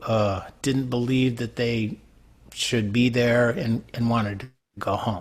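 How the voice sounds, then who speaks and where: The speaker has a New York accent and fairly even intonation. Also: man, very clean recording, silent background. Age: 60s. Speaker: songwriter. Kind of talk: interview.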